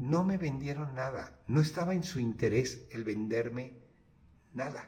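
A man's dark, mellow, somewhat breathy voice at a fairly slow pace, with lively intonation. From Mexico. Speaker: architect, podcast host. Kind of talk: casual monologue with anecdotes. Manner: halting, with many repetitions.

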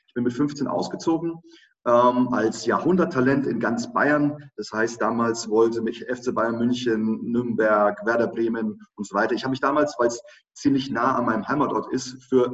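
At a moderate pace, a man speaks in a medium pitch with a plain, everyday voice. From Germany, Lower Franconia (Schweinfurt). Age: 30s. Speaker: online marketing entrepreneur and speaker. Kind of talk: interview.

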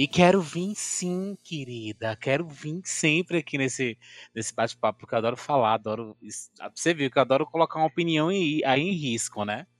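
An unremarkable speaking voice from a man, lively in intonation and moderate in pace. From Bahia, Brazil (Ipirá, sertão). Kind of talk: casual chat. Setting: online live audio room.

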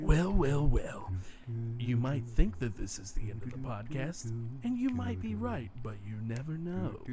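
A man puts on a character voice at a medium pitch while loud background noise plays. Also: moderate pace. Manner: ominous, dramatic.

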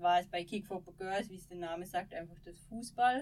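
Using a plain, everyday voice, a woman of medium pitch speaks at a fairly slow pace with ordinary pitch variation. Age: 30s. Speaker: former ski jumper. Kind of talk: interview conversation. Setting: small podcast studio.

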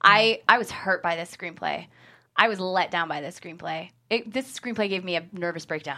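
On a very clean recording with a silent background, a woman speaks at a moderate pace and medium pitch. Her tone is bright and sharp, with vocal fry and ordinary pitch variation. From Syracuse, upstate New York. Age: 30s. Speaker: screenwriter. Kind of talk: casual interview chat. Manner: laughs often.

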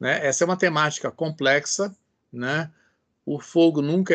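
A man with a plain, everyday voice talks at a fairly slow pace with ordinary pitch variation over a quiet background. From Brazil, São Paulo. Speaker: biology professor. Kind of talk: interview.

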